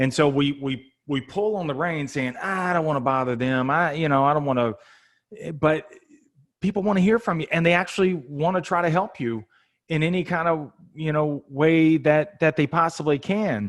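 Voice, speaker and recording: At a moderate pace, a man talks with ordinary pitch variation and a fairly high pitch. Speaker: sales podcast host. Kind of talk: podcast interview.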